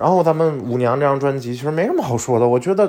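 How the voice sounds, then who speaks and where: A man speaks very fast in a fairly high voice with lively intonation. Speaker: podcast host. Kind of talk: casual solo monologue. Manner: animated.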